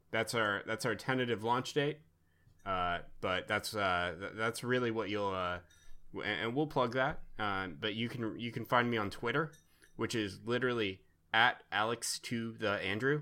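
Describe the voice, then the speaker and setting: In a very clean recording with a silent background, a man speaks at a medium pitch with ordinary variation and a bright, sharp tone. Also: moderate pace. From born in Romania, American. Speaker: guest, games discussion. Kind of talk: casual podcast conversation.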